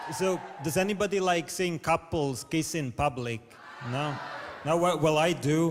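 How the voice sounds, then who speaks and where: A man with a Latvian accent speaks at a moderate pace in a fairly high pitch, leaving long, frequent pauses. Noticeable background noise runs underneath. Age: 30s. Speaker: comedian. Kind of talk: stand-up. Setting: stage with audience. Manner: halting; deadpan.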